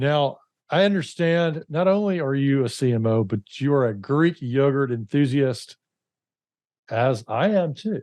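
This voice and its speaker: A fairly high-pitched man with an Alabama accent, at a fairly slow pace against a quiet background. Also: lively intonation. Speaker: podcast host. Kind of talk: interview. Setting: call.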